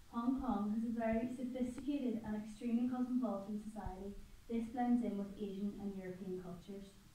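Room echo is audible as a woman speaks. Her intonation stays fairly even. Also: fairly high pitch for a woman, fairly quick pace. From Ireland. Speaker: student presenter. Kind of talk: class presentation. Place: classroom. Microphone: camera far.

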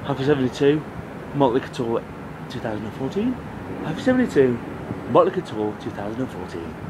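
With an English accent and lively intonation, a man of medium pitch talks very slowly with long, frequent pauses against noticeable background noise. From England. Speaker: comedy vlogger. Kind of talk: casual live vlog. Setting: outdoors on a rooftop. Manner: rambling and repetitive; animated.

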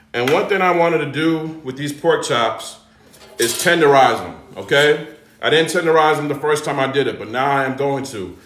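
Audible room echo surrounds a man's voice. He talks at a moderate pace with a fairly high pitch. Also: ordinary pitch variation. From US South (Georgia). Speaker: home cook and cooking content creator. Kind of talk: live cooking tutorial stream. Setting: home kitchen livestream. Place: kitchen. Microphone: phone near.

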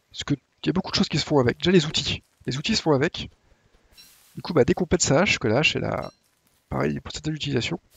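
A man at a very fast pace, broken by long, frequent pauses. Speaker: gaming YouTuber. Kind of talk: tutorial. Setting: home recording, gameplay voiceover. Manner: casual, hesitant with fillers.

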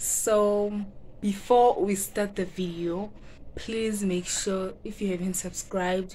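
A woman speaks very slowly in a medium pitch, her tone dark, mellow and somewhat breathy. The intonation is monotone and flat, with light background noise. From Mpumalanga, South Africa. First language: Zulu. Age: young. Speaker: vlogger. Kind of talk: casual talk to camera. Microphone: phone near.

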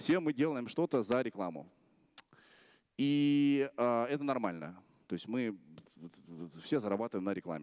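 A man at a moderate pace, with very wide pitch swings and long, frequent pauses, over a quiet background. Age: 30s. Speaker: blogger; blogger giving a festival talk. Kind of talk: conference talk. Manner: casual. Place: stage. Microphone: handheld.

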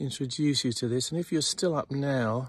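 In a dry sound with no echo and a quiet background, a man speaks somewhat breathily at a moderate pace with fairly even intonation. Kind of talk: casual vlog chat. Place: garden. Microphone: phone near.

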